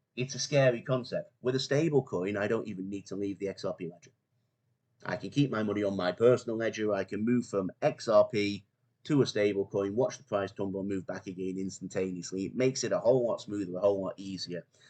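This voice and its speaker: A man with a Mancunian accent, a fairly low voice, a dark, mellow tone, ordinary pitch variation, big swings in loudness and a very fast pace. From northern England, Manchester. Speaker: crypto YouTuber, finance professional. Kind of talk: casual video monologue.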